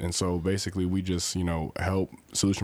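Very deep and low in pitch, a man speaks at a moderate pace with monotone, flat intonation. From Louisville, Kentucky. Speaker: university student. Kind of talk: interview. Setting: studio.

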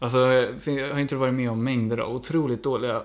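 His intonation fairly even and his pitch medium, a man races through his words at a very fast pace. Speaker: podcast co-host. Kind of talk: casual chat.

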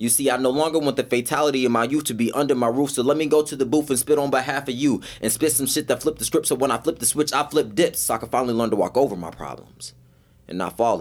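This man talks at a very fast pace with vocal fry. His pitch sits in the medium range. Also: ordinary pitch variation. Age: 20s. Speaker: spoken word poet and dancer. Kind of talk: spoken word poetry performance; casual chat. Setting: studio.

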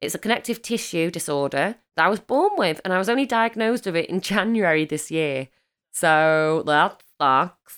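With an English accent, a woman speaks at a moderate pace and a fairly low pitch with lively intonation, recorded very cleanly against a silent background. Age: 30s. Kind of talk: casual chat.

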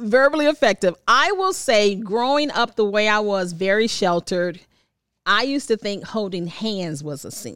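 With an American accent, a woman speaks at a moderate pace in a plain, everyday voice, fairly high-pitched and lively in intonation. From Washington, D.C. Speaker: radio personality. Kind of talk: casual chat.

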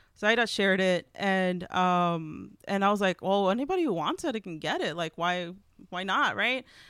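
On a very clean recording with a silent background, a woman with a plain, everyday voice speaks at a medium pitch and moderate pace with ordinary pitch variation. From Texas, Houston. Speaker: writer and zine artist. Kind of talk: casual interview.

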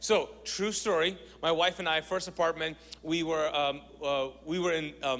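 A man with a high pitch speaks in an animated tone. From Kuwait, Pakistani family. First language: Urdu. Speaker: pastor, guest preacher. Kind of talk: sermon. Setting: church with congregation.

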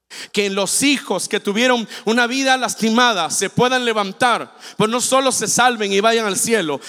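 This man's voice sits high in pitch, with ordinary pitch variation and an animated tone, moving at a fairly slow pace. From Mexico, Veracruz. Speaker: guest preacher. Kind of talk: sermon. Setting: church with congregation.

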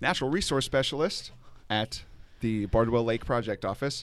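In a very clean recording with a silent background, a man has an unremarkable speaking voice at a medium pitch with ordinary pitch variation. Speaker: podcast host. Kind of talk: casual interview chat. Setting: outdoors at a lake park.

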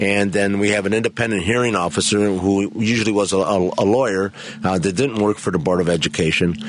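A man speaks at a fairly low pitch with fairly even intonation. Noticeable background noise runs behind him. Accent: American. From Chicago (Pilsen/Bridgeport). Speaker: judge. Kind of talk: radio interview. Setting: studio.

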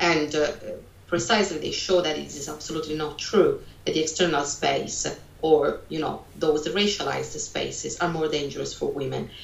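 A woman with an Italian accent at a moderate pace, with noticeable background noise and audible room echo. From Italy. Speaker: sociology lecturer. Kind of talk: interview. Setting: video call.

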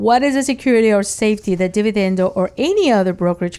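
A woman speaks very fast at a medium pitch, her dark, mellow tone carrying ordinary pitch variation. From Nicaragua, then South Florida from age 11. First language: Spanish. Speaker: radio host, accountant and financial planner. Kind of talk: radio interview. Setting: radio studio.

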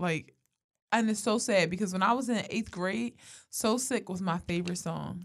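A woman speaks at a medium pitch with lively intonation. Her tone is animated. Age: 20s. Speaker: podcast co-host. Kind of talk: casual chat.

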